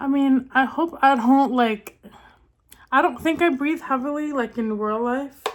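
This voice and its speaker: High-pitched woman speaking at a fairly slow pace, with ordinary pitch variation. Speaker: beauty vlogger. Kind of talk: makeup tutorial. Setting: recording in a bathroom. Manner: casual, filler-heavy (like, um); speech sometimes misses words (hard of hearing).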